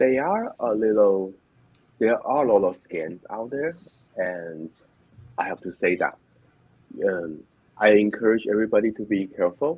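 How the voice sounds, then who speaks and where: A man with a Chinese accent speaks in a fairly low voice at a moderate pace, with long, frequent pauses. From China. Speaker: online business owner. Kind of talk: interview. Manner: halting.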